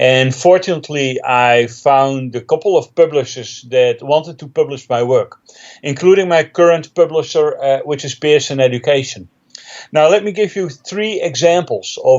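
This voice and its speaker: A man talks with a Dutch accent. His pitch variation is ordinary. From Netherlands. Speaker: technical trainer and author. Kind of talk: interview. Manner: hesitant with fillers.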